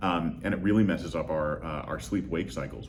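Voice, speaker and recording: A man talks at a moderate pace, and room echo can be heard around him. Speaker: lighting design expert. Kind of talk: interview. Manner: halting, many fillers.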